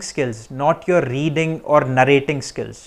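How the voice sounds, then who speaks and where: A man speaks at a fairly slow pace. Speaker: IELTS tips YouTuber. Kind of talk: tutorial.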